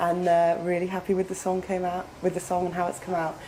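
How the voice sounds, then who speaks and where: With noticeable background noise behind her, a woman speaks at a fairly quick pace in a British accent, her pitch medium. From UK. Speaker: metal band vocalist and guitarist. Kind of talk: interview.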